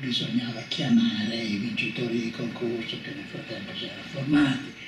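Amid noticeable background noise and audible room echo, a man speaks at a moderate pace with ordinary pitch variation. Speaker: retired professor and environmentalist. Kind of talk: interview answer. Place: home room.

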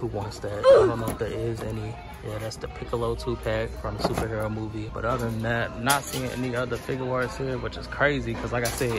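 With clear music in the background and a dry sound with no echo, a man speaks at a fairly quick pace with hardly any pauses. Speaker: toy hunter vlogger. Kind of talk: casual vlog commentary. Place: shop. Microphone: phone near.

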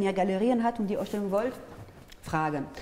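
Very fast speech from a woman with a French accent and lively intonation. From France, Paris. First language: French (speaking German). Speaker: artist and peace activist; interview guest. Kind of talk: interview. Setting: studio. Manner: halting, with many fillers. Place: studio. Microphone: lapel.

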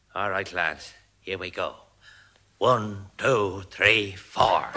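In a put-on character voice with an Irish accent, a man speaks very slowly with a raspy, fairly low pitch and fairly even intonation, with a slight echo. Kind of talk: comedy sketch recording. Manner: boisterous, quarrelsome.

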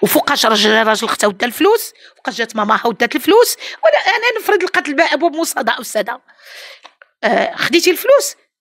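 The voice moves at a fairly quick pace with an animated tone and very wide pitch swings. The background is quiet. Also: woman, high pitch for a woman. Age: 70s. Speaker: employer interviewed in news case; interviewee. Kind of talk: interview; interview answer. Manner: halting. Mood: indignant, defensive. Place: home room. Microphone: handheld.

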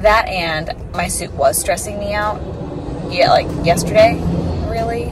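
A woman speaks with audible room echo. Clear background noise runs underneath.

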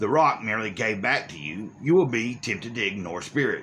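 The voice is a natural reading voice. Its intonation stays lively.

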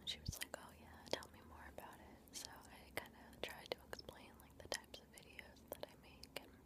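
Hardly pausing, a woman talks at a moderate pace. Background noise is loud, and the sound is dry with no echo. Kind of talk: soft-spoken casual chat. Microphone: webcam.

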